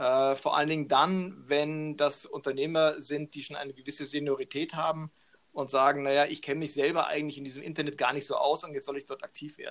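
A man's fairly high voice, monotone and flat, at a fairly quick pace, with big swings in loudness. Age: 50s. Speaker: business coach. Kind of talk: interview.

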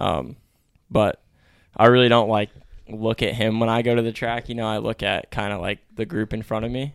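A man speaks with an American accent at medium pitch and a moderate pace. He has an ordinary speaking voice. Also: very clean recording, silent background. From Connecticut, US. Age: 20s. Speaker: professional motocross racer. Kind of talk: casual chat.

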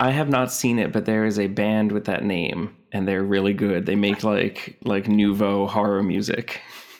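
A man with an American accent talks at a moderate pace with hardly any pauses, in a plain, everyday voice. His pitch is fairly low, his intonation fairly even, and his loudness very even. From New Jersey. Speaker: zine publisher. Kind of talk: casual interview chat.

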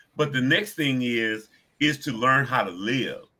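A man with a plain, everyday voice, at medium pitch, with lively intonation and a fairly slow pace. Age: 60s. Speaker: addiction recovery ministry director. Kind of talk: talk show interview.

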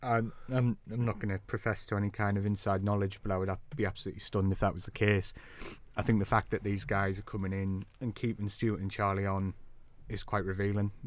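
A man speaks at a very fast pace with fairly low pitch and monotone, flat intonation. The recording is very clean, with a silent background. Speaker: football journalist. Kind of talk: casual chat. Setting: studio.

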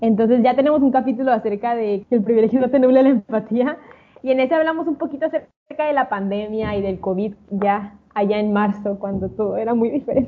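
At a fairly quick pace, a woman talks in an ordinary speaking voice, fairly high in pitch, with ordinary pitch variation. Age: 20s. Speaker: podcast co-host. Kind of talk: casual chat.

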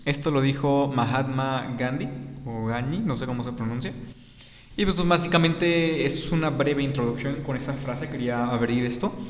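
With audible room echo, a man talks at a moderate pace and ordinary pitch variation. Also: fairly high pitch for a man. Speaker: podcast host. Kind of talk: solo podcast monologue. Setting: studio.

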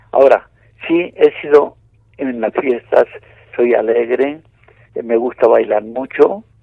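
A man is speaking. He goes at a very slow pace. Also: long, frequent pauses, big swings in loudness. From Spain. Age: 90s. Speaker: retired bullfighter. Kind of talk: interview.

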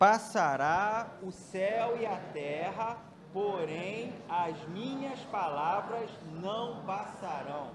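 A man with a high voice speaks at a very slow pace with lively intonation. Audible room echo and noticeable background noise surround him. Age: 40s. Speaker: church elder preaching. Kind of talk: sermon. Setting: church.

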